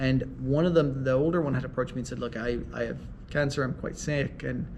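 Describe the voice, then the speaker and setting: A man speaks at a fairly quick pace in a medium pitch with fairly even intonation. Audible room echo surrounds the voice. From Ireland. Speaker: mediator and law professor. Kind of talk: interview.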